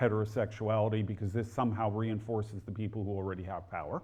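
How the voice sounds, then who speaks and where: A man speaks in a somewhat breathy, fairly low-pitched voice against a quiet background. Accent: New Jersey. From New Jersey, near Newark. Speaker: historian and author. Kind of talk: lecture.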